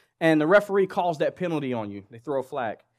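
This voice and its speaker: Against a silent background in a very clean recording, a man with a Southern US accent talks at a fairly quick pace, his fairly high pitch carrying lively intonation. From Oklahoma, US South. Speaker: guest preacher. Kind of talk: sermon. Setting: church with congregation. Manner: animated.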